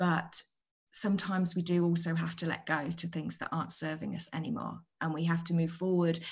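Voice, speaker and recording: Over a quiet background, a woman with a British accent speaks at a moderate pace. Her fairly low voice is somewhat breathy, with monotone, flat intonation. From UK. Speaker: author; guest. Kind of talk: interview. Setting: video call. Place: home room. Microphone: video call.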